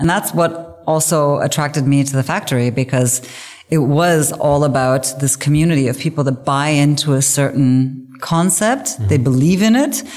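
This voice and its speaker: Over noticeable background noise, a woman with a Canadian accent speaks at a moderate pace in a very deep, low pitch with ordinary pitch variation. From English-speaking Canada. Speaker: business executive. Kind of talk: interview.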